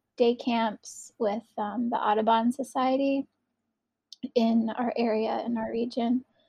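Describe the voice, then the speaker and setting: A woman with an American accent talks at a fairly slow pace, her fairly high pitch carried on a dark, mellow tone with fairly even intonation in a dry, close sound with no echo. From northeastern US. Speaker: educator and artist. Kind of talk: casual interview chat. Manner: hesitant, with frequent fillers.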